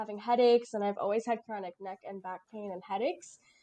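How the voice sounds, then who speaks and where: A woman speaks against a quiet background. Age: 20s. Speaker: POTS patient, runner at charity race. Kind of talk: live interview at event.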